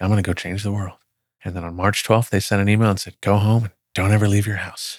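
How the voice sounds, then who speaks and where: Captured in a very clean recording with a silent background, a man of fairly low pitch talks at a very fast pace in a flat monotone. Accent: American. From Texas, Dallas area (Plano). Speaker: healthcare tech executive. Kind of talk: interview conversation. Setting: studio.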